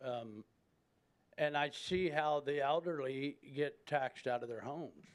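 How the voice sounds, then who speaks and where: At a fairly slow pace, a man talks in an ordinary speaking voice, fairly high in pitch, with fairly even intonation. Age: 60s. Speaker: resident speaking at public hearing. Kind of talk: public comment. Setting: city commission meeting.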